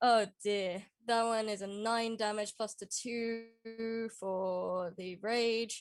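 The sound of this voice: A woman speaks at a slow pace. Her intonation stays fairly even.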